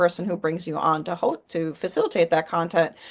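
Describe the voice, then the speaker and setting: A woman speaks in an ordinary speaking voice at a fairly low pitch. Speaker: public speaking coach. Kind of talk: interview conversation.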